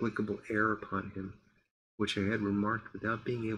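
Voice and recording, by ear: In a quiet background, the clip is reading aloud in a natural voice.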